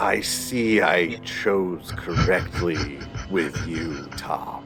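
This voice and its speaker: Clear music plays behind a man doing a put-on character voice, growling and strained. His very deep, low pitch drags along at a very slow pace. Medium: actual play. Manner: whispering, sinister.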